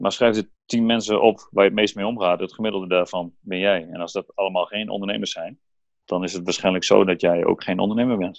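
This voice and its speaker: A very fast man's voice of fairly low pitch, with fairly even intonation and a dry, close sound with no echo. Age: 30s. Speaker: entrepreneur, former footballer. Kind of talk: interview. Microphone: laptop instead of phone, sound may differ.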